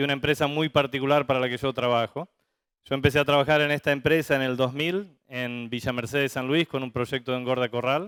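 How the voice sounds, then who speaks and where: Fairly high in pitch, a man talks at a fairly quick pace with ordinary pitch variation. He has an unremarkable speaking voice. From Argentina, Santa Fe (litoral). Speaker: veterinarian, livestock industry manager. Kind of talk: conference talk.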